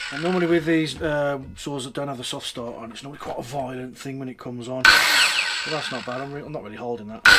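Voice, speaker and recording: Over noticeable background noise, the speech races at a very fast pace with hardly any pauses. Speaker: DIY tool reviewer. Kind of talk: tool review tutorial. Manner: casual, with hesitations.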